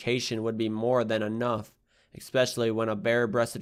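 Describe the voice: The words are read out plainly. It is simple reading aloud.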